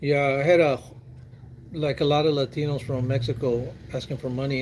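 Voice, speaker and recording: With an American accent, a man talks at a fairly quick pace in a normal speaking voice pitched fairly high. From Texas, San Antonio. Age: 60s. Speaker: military veteran. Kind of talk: casual chat.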